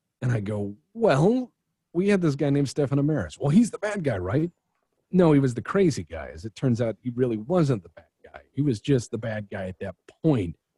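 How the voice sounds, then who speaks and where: A man's somewhat breathy voice with a dark, mellow tone at a medium pitch, fairly quick in pace, with very wide pitch swings and big swings in loudness, in a dry, close sound with no echo. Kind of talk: casual chat. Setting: video call. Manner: animated.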